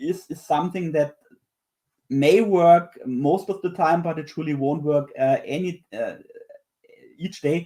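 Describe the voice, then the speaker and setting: In a German accent, a man with a high pitch and a dark, mellow tone talks at a fairly slow pace with ordinary pitch variation and long, frequent pauses. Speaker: software developer and tech book author. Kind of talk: panel discussion. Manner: halting, many fillers and repetitions.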